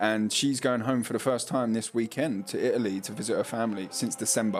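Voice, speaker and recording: Over noticeable background noise, a man speaks at a very fast pace. His pitch is medium. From London (cockney). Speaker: sim racing league commentator. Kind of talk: live commentary. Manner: casual, lazy pronunciation; animated.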